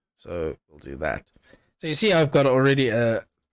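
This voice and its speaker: A man's voice with vocal fry and very wide pitch swings, dry with no echo, against a quiet background. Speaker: streaming tutorial creator; streamer. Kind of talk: tutorial. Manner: casual, with filler words. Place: home room. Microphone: headset.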